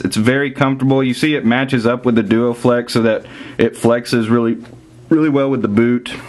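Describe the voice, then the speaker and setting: A man talks with a Southern US accent and fairly even intonation. Noticeable background noise runs underneath. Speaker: soccer gear reviewer. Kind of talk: product review. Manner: casual, with frequent fillers.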